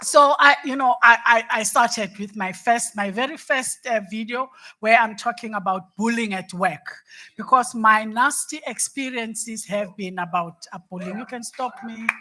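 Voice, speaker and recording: A woman speaks with a bright, sharp tone at a fairly high pitch, with ordinary pitch variation. The recording is very clean, with a silent background. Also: moderate pace, big swings in loudness. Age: 60s. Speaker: panel speaker, former executive. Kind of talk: panel discussion. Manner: halting, many repetitions.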